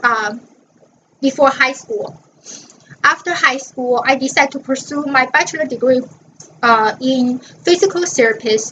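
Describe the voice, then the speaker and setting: A woman's high-pitched voice with a Chinese accent, fairly slow in pace, with ordinary pitch variation. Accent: Mandarin Chinese. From northern China (Dalian). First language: Mandarin Chinese. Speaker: college student. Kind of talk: class presentation.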